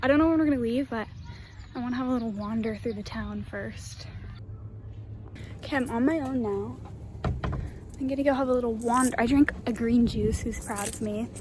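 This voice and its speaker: With an American accent, a woman talks at a moderate pace with long, frequent pauses, over noticeable background noise and audible room echo. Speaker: au pair vlogger. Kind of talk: casual vlog. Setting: outdoors. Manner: whispering.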